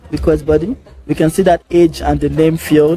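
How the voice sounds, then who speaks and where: Music plays behind speech delivered at a moderate tempo. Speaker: software product demo presenter. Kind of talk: tutorial. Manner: casual.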